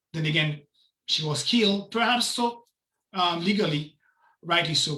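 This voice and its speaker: Speaking at a moderate pace with a non-native accent, a man uses a high-pitched, bright, sharp tone. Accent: foreign. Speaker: city council candidate. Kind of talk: campaign speech at online meeting.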